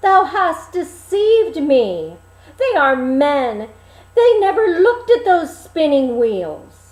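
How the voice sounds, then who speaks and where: A woman uses a put-on character voice at an extremely high pitch with very wide pitch swings. She speaks at a very slow pace. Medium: read story. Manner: archaic, formal.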